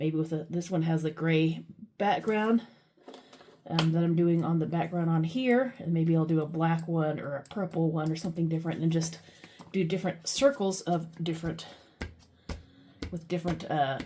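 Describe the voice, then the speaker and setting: Moderate pace, ordinary pitch variation and long, frequent pauses over noticeable background noise. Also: woman, fairly low pitch for a woman. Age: 40s. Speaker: former truck driver. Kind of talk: casual talk to camera.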